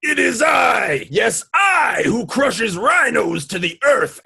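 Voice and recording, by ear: A speaker is heard reading aloud in a natural voice.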